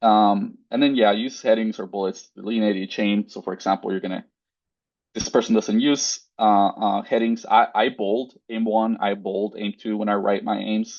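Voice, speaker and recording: A man in a Spanish accent talks at a moderate pace with a fairly low pitch and monotone, flat intonation. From Mexico. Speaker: postdoctoral researcher. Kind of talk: webinar lecture. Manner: casual, filler-heavy.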